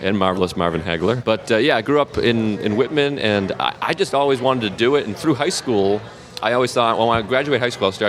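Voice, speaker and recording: A man speaks at a very fast pace with an American accent over noticeable background noise. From Massachusetts, south of Boston. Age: 30s. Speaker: comedian. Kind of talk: casual chat.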